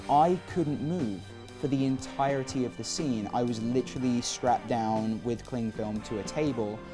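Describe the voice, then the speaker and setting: A man with a British accent, music in the background. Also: medium pitch for a man, ordinary pitch variation, moderate pace. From England. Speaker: actor. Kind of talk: interview answer. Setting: studio.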